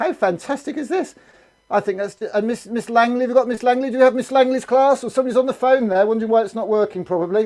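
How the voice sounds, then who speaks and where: Loud and very fast, the voice has a dark, mellow tone and ordinary pitch variation. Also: man. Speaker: assembly presenter for schools. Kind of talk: live streamed school assembly. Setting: video call. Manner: animated.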